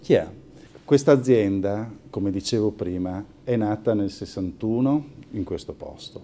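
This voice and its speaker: Over noticeable background noise, a man with a strong Italian accent and a fairly low pitch talks at a moderate pace with lively intonation. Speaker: family pasta company owner. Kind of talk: interview, mostly in Italian.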